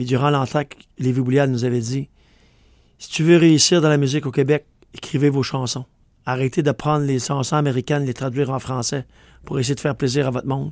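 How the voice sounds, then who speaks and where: In a Quebec accent, the speech moves at a fairly quick pace with monotone, flat intonation and long, frequent pauses, on a very clean recording with a silent background. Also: man, medium pitch for a man. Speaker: country singer. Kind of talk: radio interview. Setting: radio studio.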